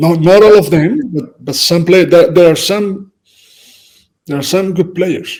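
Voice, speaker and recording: A man talks at a fairly slow pace in a high pitch. His pitch variation is ordinary. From Spain. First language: Spanish. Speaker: football coach. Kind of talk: casual chat. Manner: halting.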